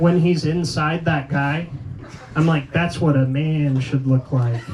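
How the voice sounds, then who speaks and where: The speech moves at a very slow pace. Noticeable background noise sits under it. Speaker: comedian and competition host. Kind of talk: stand-up. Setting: stage with audience. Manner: loud.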